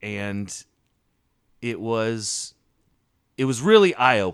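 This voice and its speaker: Lively intonation runs through the speech. The man has an American accent. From Iowa. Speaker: improviser and podcast host. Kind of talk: casual interview chat.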